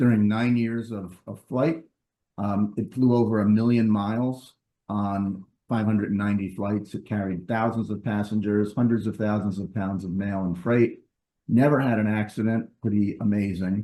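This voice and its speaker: A man with a New York accent speaks at a moderate pace in a fairly low pitch. His tone is dark and mellow, and his intonation fairly even. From New York, US. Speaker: stamp collector presenting a talk. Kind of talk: presentation lecture. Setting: video call. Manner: hesitant with frequent ums.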